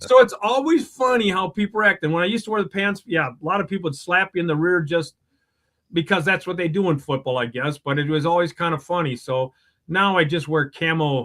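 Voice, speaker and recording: A man with a Wisconsin accent speaks at a fairly quick pace in a high voice, his intonation lively. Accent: Upper Midwest (Wisconsin). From Wisconsin, Madison area. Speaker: superfan guest. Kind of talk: casual chat.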